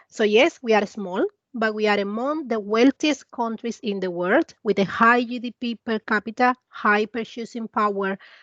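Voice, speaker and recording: A woman with a Latin American accent speaks at a moderate pace in a fairly high voice with ordinary pitch variation. The sound is dry and close with no echo, against a quiet background. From Cuba. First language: Spanish. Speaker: investment advisor. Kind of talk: presentation.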